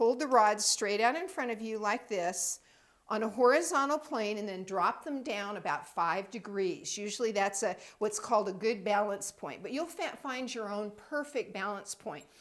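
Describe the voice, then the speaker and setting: A woman speaks with lively intonation at a moderate pace, her pitch fairly high. She has an unremarkable speaking voice. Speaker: intuitive training center director. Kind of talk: tutorial.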